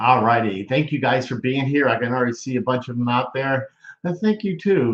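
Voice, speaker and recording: Medium-pitched male delivery in a normal speaking voice, lively intonation, moderate pace. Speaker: stroke talk show host. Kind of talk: casual livestream chat.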